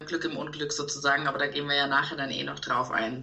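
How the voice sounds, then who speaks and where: There is noticeable background noise and audible room echo. A woman speaks with a very deep, low pitch. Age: 30s. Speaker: expectant mother, event manager. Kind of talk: podcast interview.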